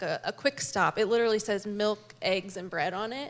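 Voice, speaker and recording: A woman with a Midwestern American accent talks at a fairly quick pace. Her pitch is fairly high and her intonation fairly even. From Kansas City (Northland area). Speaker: nurse and pastor's wife. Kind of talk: testimony.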